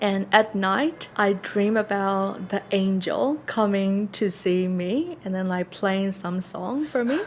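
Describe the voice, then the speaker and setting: A woman with a non-native accent at medium pitch, very slow in pace yet with hardly any pauses. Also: ordinary pitch variation. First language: not English. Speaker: podcast co-host. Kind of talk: casual chat.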